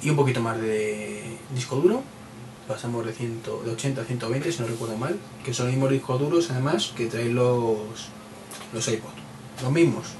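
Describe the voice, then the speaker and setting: A man with a Madrid accent talks at a moderate pace, with ordinary pitch variation and long, frequent pauses. Audible room echo and noticeable background noise surround him. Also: medium pitch for a man. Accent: Castilian Spanish (Madrid). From Spain, Madrid. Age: 30s. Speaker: tech podcaster. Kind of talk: solo podcast monologue. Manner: hesitant, many repeated words; casual, chatty.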